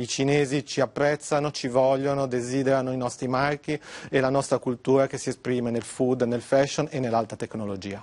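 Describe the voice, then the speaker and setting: Here is a man with a plain, everyday voice and a medium pitch. He speaks at a fairly quick pace with fairly even intonation, in a dry, close sound with no echo. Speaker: industry executive. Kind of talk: TV interview. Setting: remote video link.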